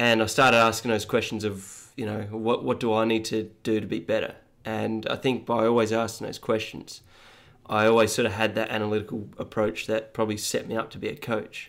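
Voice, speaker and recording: With an Australian accent, a man speaks fairly quickly at a medium pitch. His delivery is monotone and flat. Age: 30s. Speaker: running coach. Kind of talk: casual interview. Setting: home studio.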